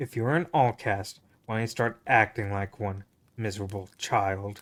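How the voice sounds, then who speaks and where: A man growls in a put-on character voice with a fairly low pitch at a moderate pace. The recording is very clean, with a silent background. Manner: growling, contemptuous.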